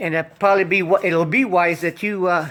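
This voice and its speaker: A man's high voice at a moderate pace. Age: 70s. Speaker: hobbyist car DIY vlogger. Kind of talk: DIY repair tutorial. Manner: halting, many fillers; casual, conversational.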